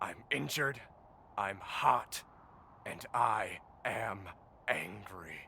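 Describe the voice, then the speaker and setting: A raspy, low-pitched put-on character voice at a very slow pace, with clear background noise. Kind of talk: audio drama performance. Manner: angry, aggressive.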